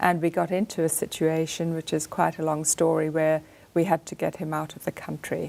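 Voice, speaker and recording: A woman talks at a fairly quick pace in an American accent. Her very deep, low pitch stays monotone and flat. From Zimbabwe. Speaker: artist and author. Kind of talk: radio interview. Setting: studio.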